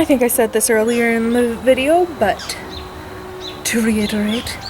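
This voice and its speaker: Her fairly high voice, with normal pitch movement, comes through noticeable background noise. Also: fairly slow pace. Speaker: YouTube vlogger. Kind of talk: casual vlog talk to camera. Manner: casual, filler-heavy.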